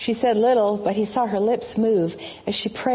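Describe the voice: The intonation is fairly even throughout. It is plain reading aloud.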